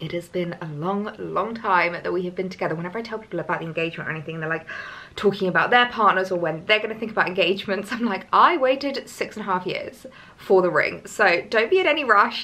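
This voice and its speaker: Over noticeable background noise, a woman talks at a very fast pace with lively intonation. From southern England, Hampshire. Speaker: lifestyle vlogger. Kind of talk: casual vlog chat.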